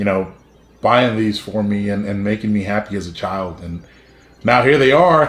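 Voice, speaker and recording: In a South Texas accent, a man with a medium pitch speaks at a moderate pace with lively intonation while music plays in the background. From South Texas, Brownsville. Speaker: YouTuber. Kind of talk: personal story vlog. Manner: casual, many fillers.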